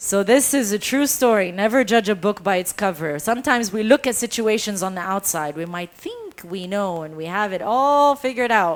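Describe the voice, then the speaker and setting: This woman sounds animated, her medium pitch carried on lively intonation, with big swings in loudness, hardly any pauses, and a moderate pace. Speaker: storyteller. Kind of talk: storytelling performance.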